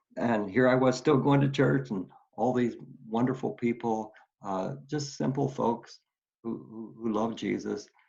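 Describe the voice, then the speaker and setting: With an American accent and vocal fry, a man talks fairly slowly at a medium pitch with ordinary pitch variation. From Oklahoma. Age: 70s. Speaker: retired pastor and war veteran. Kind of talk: testimony. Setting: video call. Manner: halting, many fillers and repeats.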